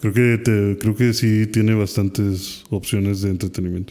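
In a very clean recording with a silent background, a man speaks with a Mexican accent, a fairly low pitch and monotone, flat intonation. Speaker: podcast co-host. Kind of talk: casual chat.

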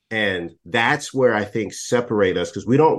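Speaking in an ordinary speaking voice with an American accent, a man holds a medium pitch with ordinary pitch variation at a moderate pace over a quiet background. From Texas. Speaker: diversity and inclusion consultant. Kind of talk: casual interview.

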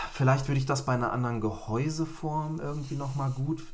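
A man speaks with audible room echo. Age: 30s. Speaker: tech podcast host. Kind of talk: casual chat.

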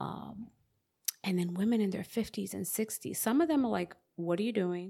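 At a moderate pace and medium pitch, a woman with a plain, everyday voice talks with ordinary pitch variation. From US Northeast (South Bronx, New York). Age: 40s. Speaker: author. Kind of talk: casual interview.

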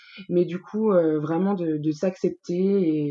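This is a woman with an unremarkable speaking voice. It sits fairly low in pitch, with fairly even intonation. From Franche-Comté, France. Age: 20s. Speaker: beauty pageant committee president. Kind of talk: casual interview.

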